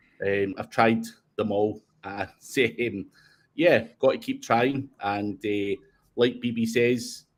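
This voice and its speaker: In a very clean recording with a silent background, a man with a Scottish accent speaks at a very slow pace in a medium pitch with fairly even intonation. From Scotland. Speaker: SEO consultant. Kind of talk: casual chat.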